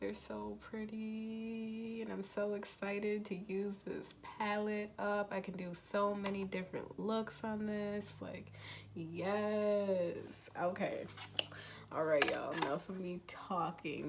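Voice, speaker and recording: Speaking fairly slowly at a medium pitch, a woman comes through with noticeable background noise and audible room echo. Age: 20s. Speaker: beauty vlogger. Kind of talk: makeup tutorial. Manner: animated.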